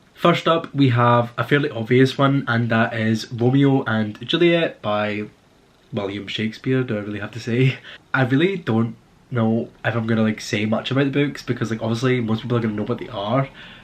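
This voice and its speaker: Speaking in a Scottish accent, a man moves at a fairly quick pace with medium pitch and ordinary pitch variation. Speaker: book vlogger, university student. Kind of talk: casual chat. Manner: casual, with filler words.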